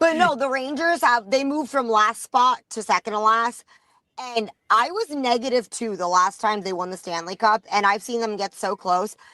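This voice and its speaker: With a New York accent, a woman talks at a moderate pace in a fairly high, bright, sharp voice, her tone animated and her intonation lively, the sound dry and close with no echo. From New York, Rockaway Beach, Queens. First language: not English. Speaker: sports podcast guest, independent journalist. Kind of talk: casual chat.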